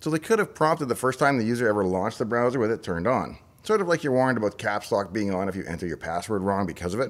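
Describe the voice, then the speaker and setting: A man talks at a very fast pace with hardly any pauses, in a Saskatchewan accent. His intonation is lively. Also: medium pitch for a man. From Saskatchewan, Canada. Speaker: tech YouTuber, former software developer; tech YouTuber. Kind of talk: explainer monologue. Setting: in a parked pickup truck. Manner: tongue-in-cheek, mock-serious. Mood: dry, wry humour. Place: home room. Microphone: studio mic.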